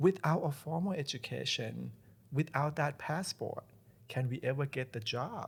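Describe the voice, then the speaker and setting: At a moderate pace, a man with a fairly high pitch and vocal fry speaks with ordinary pitch variation. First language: not English. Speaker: college president. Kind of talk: podcast interview. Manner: halting, with repetitions.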